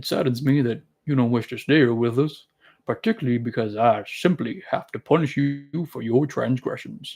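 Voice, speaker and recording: At a moderate pace, a man puts on a character voice at a medium pitch. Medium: read story. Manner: folksy, drawling.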